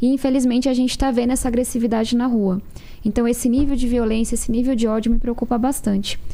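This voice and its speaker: Over noticeable background noise, a woman talks very fast at a high pitch. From São Paulo outskirts, Brazil. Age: 20s. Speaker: politician. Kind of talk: political debate.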